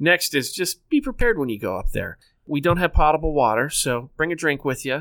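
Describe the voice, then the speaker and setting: A man talks at a fairly quick pace with a fairly high pitch. He has a normal speaking voice and lively intonation. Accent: American. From northeast Ohio. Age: 40s. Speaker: state park manager. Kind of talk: casual interview.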